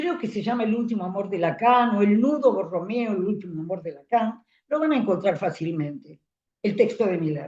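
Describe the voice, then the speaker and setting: This woman's medium-pitched voice is somewhat breathy with a dark, mellow tone. She moves at a moderate pace with lively intonation. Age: 80s+. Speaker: psychoanalyst teaching a seminar. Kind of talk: lecture.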